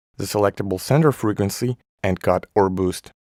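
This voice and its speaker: Fairly quick and fairly low-pitched, a man with a normal speaking voice uses ordinary pitch variation. The sound is dry and close with no echo, on a very clean recording with a silent background. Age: 20s. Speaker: audio tutorial youtuber. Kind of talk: tutorial.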